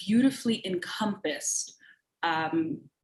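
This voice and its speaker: A woman speaks at a fairly slow pace with an American accent. Her voice is somewhat breathy and her intonation is lively. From New York and Dominican Republic. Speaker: panelist. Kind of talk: virtual panel discussion. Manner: halting, many fillers.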